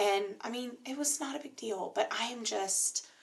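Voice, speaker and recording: A woman with an American accent speaks at a very slow pace. Her pitch makes very wide swings. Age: 30s. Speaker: graduate student vlogger. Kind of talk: casual vlog monologue. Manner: filler-heavy, hesitant.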